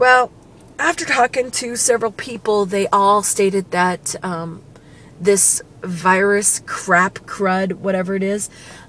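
A hoarse woman speaks at a fairly slow pace in a weary tone. Her intonation is fairly even, and the sound is dry with no echo. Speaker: vlogger. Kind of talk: casual vlog chat. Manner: ill, weary, hoarse-sounding talk. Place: car. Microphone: phone near.

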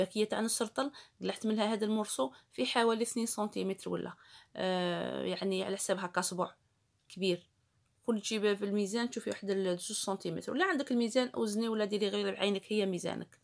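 A woman's medium-pitched voice with an Algerian accent, fairly quick, with ordinary pitch variation over a quiet background. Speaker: cooking YouTuber. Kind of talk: tutorial. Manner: casual. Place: kitchen. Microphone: phone near.

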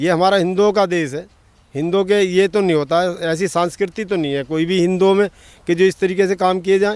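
The intonation stays fairly even, and the sound is dry with no echo. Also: man, high pitch for a man, moderate pace. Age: 70s. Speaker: farmer. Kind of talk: street interview. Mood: firm, critical political opinion. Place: farm. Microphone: handheld.

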